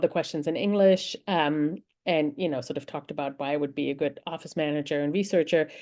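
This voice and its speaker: With a German accent, a woman talks at a fairly quick pace. Her pitch is very deep and low. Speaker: researcher and speaker on AI hiring tools. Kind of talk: conference talk. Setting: virtual summit presentation. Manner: halting, many filler words.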